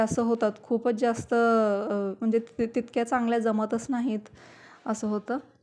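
This woman speaks at a fairly high pitch. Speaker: cooking vlogger. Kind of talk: vlog narration. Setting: home kitchen.

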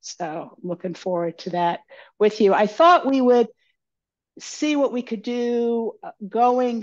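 A woman speaks with very wide pitch swings against a quiet background. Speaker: tai chi instructor. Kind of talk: class instruction. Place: home room. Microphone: headset.

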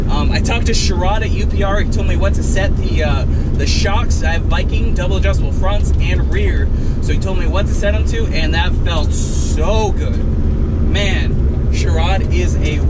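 A man at a moderate pace against loud background noise. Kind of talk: casual vlog chat. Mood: excited, laughing. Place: car. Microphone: camera far.

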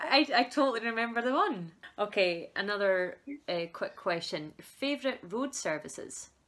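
A woman speaks with a Scottish accent. Her pace is moderate, and her pitch swings very widely. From Scotland. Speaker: folk musician, band member interviewer. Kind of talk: casual chat. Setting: video call. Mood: cheerful, laughing. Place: home room. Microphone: video call.

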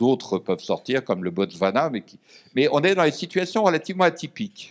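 Against a quiet background, a man speaks at a fairly quick pace with vocal fry, very wide pitch swings and big swings in loudness. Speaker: former diplomat and lecturer; lecturer. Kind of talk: panel discussion. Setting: stage with audience. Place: meeting room. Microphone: podium.

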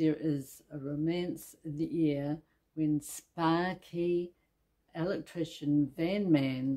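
A woman's very deep, low voice with a dark, mellow tone and a New Zealand accent, very slow, with fairly even intonation and a quiet background. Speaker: book reviewer. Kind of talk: scripted book review read. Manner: hesitant, with filler sounds. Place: home room.

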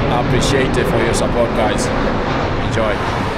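A man is speaking. Loud background noise surrounds his voice. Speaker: walking tour vlogger. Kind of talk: casual vlog chat. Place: street. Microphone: phone near.

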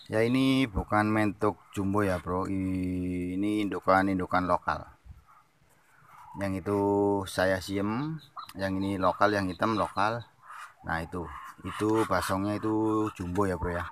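A man with a plain, everyday voice talks at a fairly slow pace and a fairly low pitch. His intonation is fairly even, with light background noise and a dry sound with no echo. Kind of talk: casual vlog chat. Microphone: phone near.

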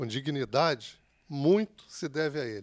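With ordinary pitch variation, a man speaks against a quiet background. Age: 50s. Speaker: samba school president; guest. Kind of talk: casual chat. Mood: warm, grateful. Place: studio. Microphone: handheld.

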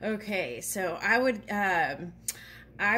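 Light background noise sits behind a woman whose voice has vocal fry. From Japan. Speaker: tarot reader and spiritual channel host. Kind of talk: casual tutorial talk to camera. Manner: halting, many fillers. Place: home room. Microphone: phone near.

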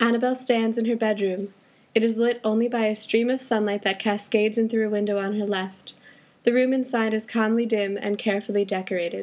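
A woman speaks fairly high in pitch with monotone, flat intonation. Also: fairly quick pace. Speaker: student audio drama creator. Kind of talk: audio drama stage directions.

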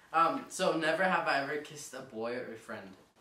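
A man's fairly high voice with a bright, sharp tone, moderate pace and ordinary pitch variation, plus strong room echo.

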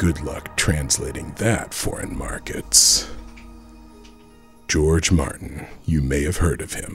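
Music plays in the background as the speaker goes at a very slow pace, with long, frequent pauses and ordinary pitch variation. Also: man, very deep, low pitch for a man. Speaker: author. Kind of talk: comedic parody trailer narration.

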